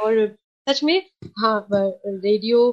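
This woman has a fairly high pitch and speaks in a Sindhi accent. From Kolkata, West Bengal. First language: Sindhi (speaking Hindi). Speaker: community radio station head. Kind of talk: casual interview.

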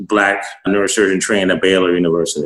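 This voice has an American accent and a monotone, flat intonation. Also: man. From US Mid-Atlantic. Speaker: neurosurgeon. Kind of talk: interview.

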